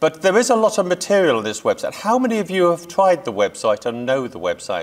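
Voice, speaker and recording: Very wide pitch swings mark this man's high voice. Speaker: photography historian, website founder. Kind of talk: lecture. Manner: fast.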